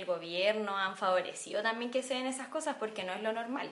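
At a fairly quick pace, a woman talks at medium pitch with fairly even intonation. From Chile, San Bernardo. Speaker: podcast co-host. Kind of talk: casual political discussion.

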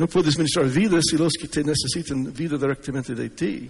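A man's fairly high voice with vocal fry, ordinary pitch variation and a moderate pace over a quiet background. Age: 60s. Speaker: preacher. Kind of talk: sermon. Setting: church conference with audience. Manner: halting. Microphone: sound system problems.

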